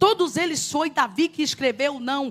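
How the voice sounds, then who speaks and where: A woman speaks with a high pitch and an animated tone. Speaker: preacher. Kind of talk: sermon.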